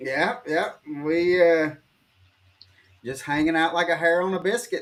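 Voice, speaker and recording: A fairly slow delivery in a strong Southern accent, with ordinary pitch variation. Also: man, high pitch for a man. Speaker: podcast host. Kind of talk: casual chat.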